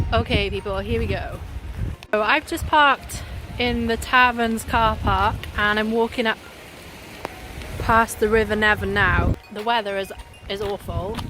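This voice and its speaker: A woman speaking at a fairly slow pace, with long, frequent pauses and music in the background. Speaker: travel vlogger. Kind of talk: travel vlog. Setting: outdoors. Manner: casual, chatty.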